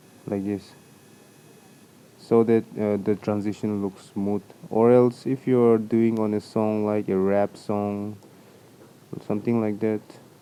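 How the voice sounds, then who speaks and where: Speaking fairly slowly with a non-native accent, a man with a fairly low pitch keeps a monotone, flat intonation and leaves long, frequent pauses. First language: not English. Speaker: video editing tutorial maker. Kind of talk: tutorial. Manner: casual, with fillers and self-corrections.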